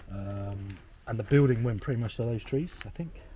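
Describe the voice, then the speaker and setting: There is noticeable background noise as a man talks. He speaks at a moderate pace and medium pitch with ordinary pitch variation. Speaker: property renovator. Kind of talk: casual chat. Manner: quiet voice.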